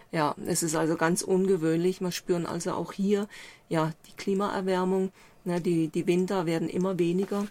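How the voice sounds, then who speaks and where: The speaker's dark, mellow voice stays monotone and flat in intonation while swinging widely in loudness at a moderate pace. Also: woman, medium pitch for a woman. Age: 60s. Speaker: journalist and author. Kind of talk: interview. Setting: inside a camper van on a mountain.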